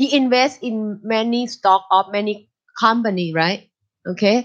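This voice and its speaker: In a Thai accent, a woman speaks at a fairly slow pace. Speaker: university lecturer. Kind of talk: lecture.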